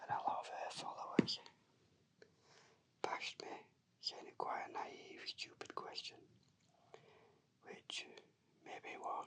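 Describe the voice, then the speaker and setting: Whispering at a fairly slow pace, a man leaves long, frequent pauses while his loudness swings widely. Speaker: shiatsu therapist. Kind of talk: whispered ASMR personal story. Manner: whispered, soft-spoken.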